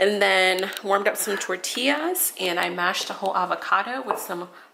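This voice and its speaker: There is noticeable background noise behind a woman's voice. Her pitch variation is ordinary. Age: 20s. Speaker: vlogger sharing daily vegan meals. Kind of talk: casual vlog narration. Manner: enthusiastic.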